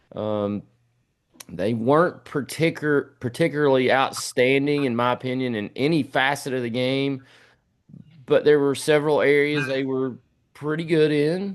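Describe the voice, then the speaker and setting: Against a quiet background, a man with a Tennessee accent speaks at a fairly high pitch. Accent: US Southern (Tennessee). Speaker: sports podcast host. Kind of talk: casual sports talk.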